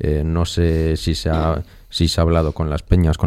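The man's voice has a dark, mellow tone and a very deep, low pitch. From Spain, Burgos. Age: young. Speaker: radio panelist. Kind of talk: radio roundtable discussion.

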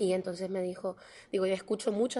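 Speaking very fast, a woman keeps a medium pitch and a monotone, flat intonation. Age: 30s. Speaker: politician. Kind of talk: interview.

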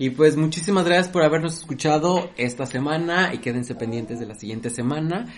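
The speech comes at a fairly quick pace with hardly any pauses, lively intonation, and big swings in loudness. Noticeable background noise is present. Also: man, fairly high pitch for a man. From Mexico. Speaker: podcast host. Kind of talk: casual chat.

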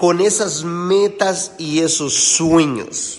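A man speaks in a high, animated voice, with noticeable background noise and audible room echo. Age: 30s. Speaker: network marketing leader and motivational mentor. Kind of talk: motivational conference call.

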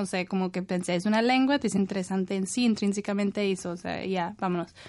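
Speaking at a very fast pace, a woman holds a medium pitch. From northern England, Leeds. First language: English (speaking Spanish). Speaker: university professor. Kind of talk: radio interview. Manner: halting, many fillers.

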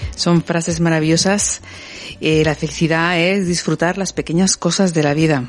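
A woman's fairly low voice with very even loudness, a moderate pace and fairly even intonation, with music in the background. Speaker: radio host. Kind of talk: late-night radio talk show with callers. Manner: hesitant, repeats words.

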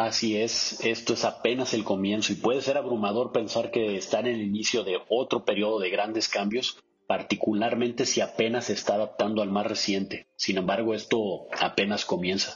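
With an unremarkable speaking voice, a man talks at a moderate pace and medium pitch, keeping his loudness very even, his intonation fairly even and his pauses few. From Mexico, Sinaloa. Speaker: business expert. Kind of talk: interview.

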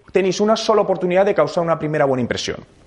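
Clearly audible noise lies beneath a man whose intonation is lively and varied. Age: 30s. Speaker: digital marketing speaker. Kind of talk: interactive talk to audience.

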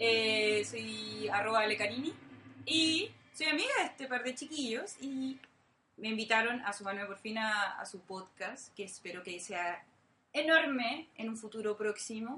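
This is a normal speaking voice. It moves at a fairly slow pace with lively intonation. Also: woman, fairly high pitch for a woman. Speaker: journalist. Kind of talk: casual chat.

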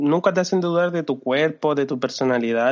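A man talks in a Chilean accent at a fairly high pitch. His intonation stays fairly even. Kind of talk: casual chat.

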